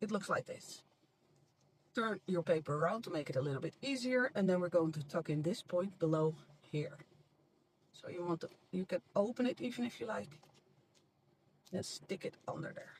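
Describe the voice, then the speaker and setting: A moderate pace with long, frequent pauses, in a non-native accent. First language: not English. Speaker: crafts channel host. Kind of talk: tutorial.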